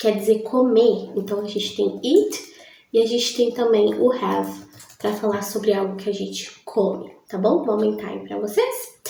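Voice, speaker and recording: Amid noticeable background noise and audible room echo, a woman speaks with big swings in loudness. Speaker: English teacher. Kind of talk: tutorial. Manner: slow, deliberate.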